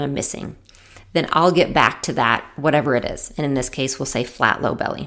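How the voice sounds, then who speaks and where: A woman is speaking. Her tone is animated. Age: 40s. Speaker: physical therapist and Pilates teacher. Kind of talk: solo podcast talk.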